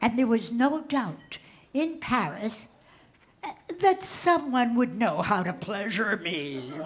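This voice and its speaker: Very slowly and with very wide pitch swings, a woman speaks at a fairly high pitch over noticeable background noise. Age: 80s+. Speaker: comedian and cabaret artist. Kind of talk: stand-up comedy on stage. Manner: saucy, witty.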